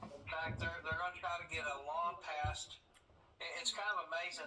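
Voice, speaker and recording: This speaker has an American accent and a moderate pace. Noticeable background noise is present. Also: man. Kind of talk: casual chat.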